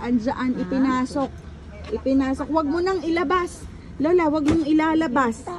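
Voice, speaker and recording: A high-pitched woman's voice at a moderate pace, with ordinary pitch variation and noticeable background noise. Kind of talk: casual talk while filming family.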